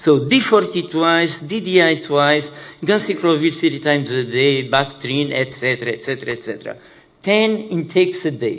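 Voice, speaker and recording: A man's fairly high pitch and lively intonation at a moderate pace, with audible room echo. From Portugal. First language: Portuguese. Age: 60s. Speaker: HIV activist living with HIV. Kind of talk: conference panel talk. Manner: halting, many fillers.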